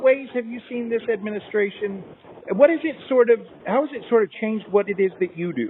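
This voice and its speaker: Speaking fairly quickly in a high pitch, a man shows ordinary pitch variation and big swings in loudness amid noticeable background noise. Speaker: interviewer. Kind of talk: interview questions.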